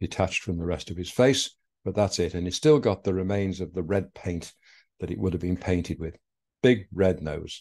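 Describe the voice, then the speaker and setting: Against a quiet background, a man talks at a fairly quick pace in a very deep, low pitch with a dark, mellow tone. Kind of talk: presentation talk with slides. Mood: warm storytelling. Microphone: video call.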